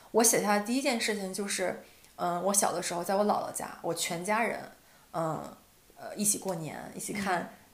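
Audible room echo surrounds a woman with a medium pitch and ordinary pitch variation. She keeps a moderate pace but leaves long, frequent pauses. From Northeast China. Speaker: podcast co-host. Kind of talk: casual chat.

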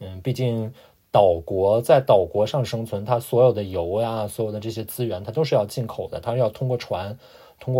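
A somewhat breathy man at a moderate pace. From China. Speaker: immigrant working in finance. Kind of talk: casual interview chat. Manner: halting with many fillers.

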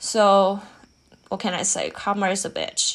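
Woman with a Chinese accent, at a moderate pace. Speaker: podcast host. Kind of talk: casual monologue.

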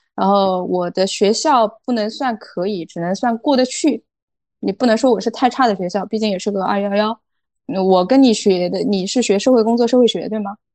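A woman speaks in an ordinary speaking voice at a moderate pace. Her fairly high pitch has ordinary variation over a quiet background. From rural China. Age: 30s. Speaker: foreign trade entrepreneur. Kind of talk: interview.

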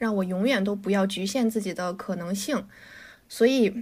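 Somewhat breathy, a woman talks at a fairly quick pace and medium pitch on a very clean recording with a silent background. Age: 20s. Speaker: podcast co-host. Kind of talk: casual chat.

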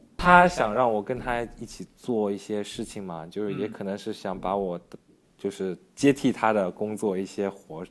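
This man has an ordinary speaking voice, fairly low in pitch with ordinary variation, and talks at a moderate pace. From Yancheng, Jiangsu; raised in Yangzhou from age ~11. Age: young. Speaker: video creator and studio owner. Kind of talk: casual interview.

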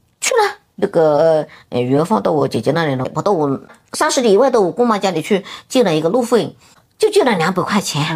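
Moving at a fairly quick pace, a woman speaks with very wide pitch swings. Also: medium pitch for a woman. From Hunan, Xinhua county. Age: 50s. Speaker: office building cleaner and self-taught painter. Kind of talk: interview about life story.

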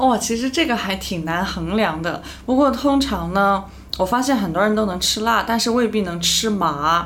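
Background noise is noticeable, and there is audible room echo. A woman talks at a moderate pace with a fairly high pitch. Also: lively intonation. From Chengdu, Sichuan, China. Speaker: media worker. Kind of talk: casual chat.

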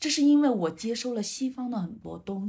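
Dark and mellow in tone, the woman's voice also carries a somewhat breathy quality. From northern rural China. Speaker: five-elements psychology counselor. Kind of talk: casual interview chat.

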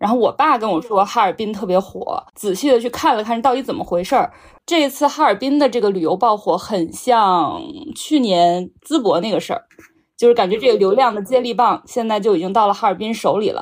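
A woman's fairly high voice, an ordinary speaking voice, at a fairly quick pace with lively intonation, on a very clean recording with a silent background. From Qingdao, Shandong. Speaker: podcast host. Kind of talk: casual chat.

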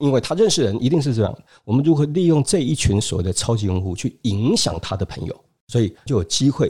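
A man's medium-pitched, somewhat breathy voice with a dark, mellow tone and very wide pitch swings. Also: fairly quick pace. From Taiwan. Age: 50s. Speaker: business school lecturer and consultant. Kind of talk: interview.

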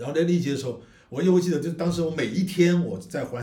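A man's very fast, fairly high voice with vocal fry and a dark, mellow tone, in audible room echo. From China, Guizhou. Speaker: independent film director and podcast co-host. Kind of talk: casual chat.

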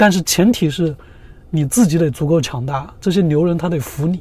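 Here is a man with an unremarkable speaking voice and a fairly high pitch. He talks at a moderate pace with ordinary pitch variation. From China. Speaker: entrepreneur. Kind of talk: interview.

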